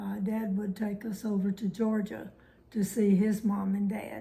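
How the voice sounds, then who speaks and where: Fairly slow pace and monotone, flat intonation against noticeable background noise. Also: woman. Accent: Southern US. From Alabama. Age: 90s. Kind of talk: oral history interview answer.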